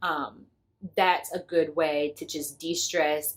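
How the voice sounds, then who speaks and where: A woman speaks with an American accent. Her voice is very deep and low in pitch. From United States. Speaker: lifestyle vlogger. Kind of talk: casual vlog talk. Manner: conversational, with filler words.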